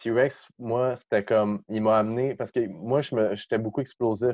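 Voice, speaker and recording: Very slow pace and fairly even intonation from a man at medium pitch. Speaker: breakdancer. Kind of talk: casual chat.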